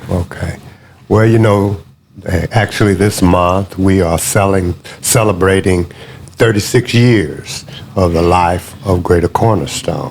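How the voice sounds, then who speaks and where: Pausing long and often, a man speaks at a very deep, low pitch and a fairly slow pace with very even loudness and fairly even intonation. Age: 60s. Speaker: pastor. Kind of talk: interview.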